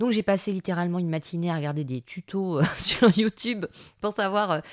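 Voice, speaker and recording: A woman's medium-pitched voice with lively intonation at a moderate pace, in a very clean recording with a silent background and a dry, close sound with no echo. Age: 40s. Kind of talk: casual monologue. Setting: home recording in son's music room. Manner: hesitant, with filler words.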